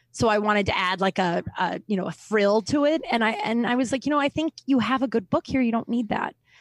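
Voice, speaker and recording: A woman with a plain, everyday voice speaks at a fairly high pitch with lively intonation, at a fairly quick pace with hardly any pauses. Her loudness stays very even in a dry, close sound with no echo. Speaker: comedian and author. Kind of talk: casual chat.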